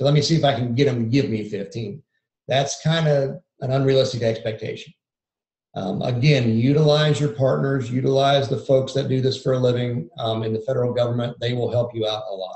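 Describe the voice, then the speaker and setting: A man with a medium pitch and a somewhat breathy voice speaks at a fairly quick pace. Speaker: lidar mapping industry presenter. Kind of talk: webinar presentation. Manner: monotone.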